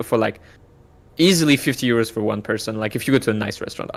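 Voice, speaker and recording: This man speaks in a French accent. His pace is very fast and his intonation lively. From France, southwest. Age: 20s. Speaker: streamer. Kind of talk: casual chat.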